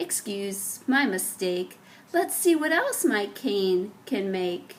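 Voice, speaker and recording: This is a put-on character voice with a warm tone. The pace is very slow. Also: woman, medium pitch for a woman. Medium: read story. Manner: warm, affectionate.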